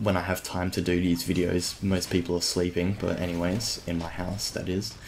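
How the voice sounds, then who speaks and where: A man speaks quietly in an Australian accent. His pitch is very deep and low, and his intonation stays monotone and flat. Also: moderate pace. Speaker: gaming YouTuber. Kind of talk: gameplay commentary. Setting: at home. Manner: quiet, subdued.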